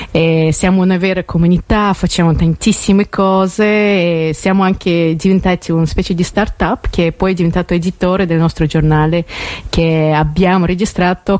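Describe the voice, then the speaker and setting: At a moderate pace, a woman with a non-native accent talks in a fairly low pitch, her intonation monotone and flat and her loudness very even. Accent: foreign accent in Italian. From Russia, then US from age 11. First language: Russian (speaking Italian). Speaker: magazine editor. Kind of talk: radio interview. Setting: radio studio. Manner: halting.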